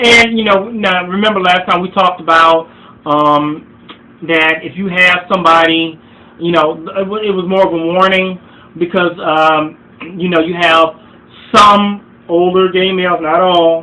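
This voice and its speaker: A man speaks at a high pitch against noticeable background noise. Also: fairly even intonation, fairly slow pace. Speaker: relationship advice vlogger. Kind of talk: vlog monologue. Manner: halting, many fillers and repeats.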